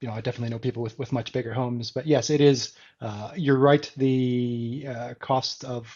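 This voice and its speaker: Speaking with an American accent, a man keeps a medium pitch. His pace is fairly quick and his intonation fairly even. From Canada. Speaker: smart home enthusiast. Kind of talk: casual chat.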